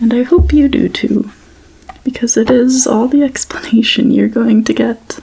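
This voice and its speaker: Soft-spoken, fairly slow delivery over noticeable background noise. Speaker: ASMR creator. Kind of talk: bedtime story reading.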